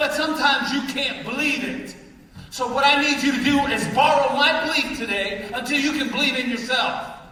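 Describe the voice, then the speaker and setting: With an American accent, a man projects a raised, animated voice amid audible room echo and noticeable background noise. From Baltimore, Maryland. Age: 60s. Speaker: motivational speaker. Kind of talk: motivational talk to a live audience. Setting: stage with large audience. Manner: loud.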